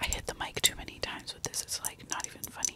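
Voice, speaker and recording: A woman is whispering. Her pace is fairly quick. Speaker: ASMR creator. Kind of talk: ASMR whisper skincare routine. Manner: whispered; casual, rambling. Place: home room. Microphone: studio mic.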